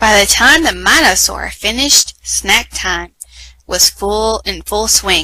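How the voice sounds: In a natural reading voice, the words come with fairly even intonation.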